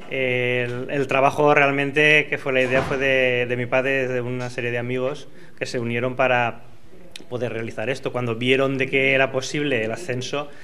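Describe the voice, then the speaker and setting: Over light background noise, a man talks at a moderate pace in a medium pitch with monotone, flat intonation. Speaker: son of elderly club fan. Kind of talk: interview answer. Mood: calm, proud. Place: office. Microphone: handheld.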